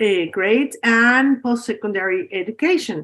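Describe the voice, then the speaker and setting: Fairly slow speech with lively intonation, in a Spanish accent. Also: woman. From Mexico. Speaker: professor. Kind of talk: lecture. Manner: halting.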